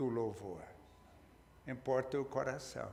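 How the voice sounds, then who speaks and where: A man speaks, and audible room echo can be heard around his voice. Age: 80s+. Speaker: pastor. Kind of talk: sermon. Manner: halting, with repeated words.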